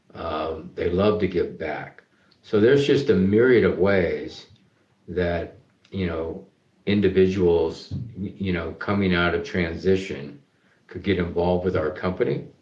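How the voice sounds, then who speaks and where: There is audible room echo around this man's very deep, low voice. He sounds somewhat breathy. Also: ordinary pitch variation, fairly slow pace. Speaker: charity business CEO and founder. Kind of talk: interview.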